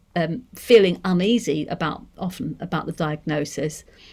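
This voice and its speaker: A woman speaks in a Manchester accent. The background is quiet. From northern England, Manchester. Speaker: deaf education researcher; lecturer on deaf education. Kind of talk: seminar lecture. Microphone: webcam.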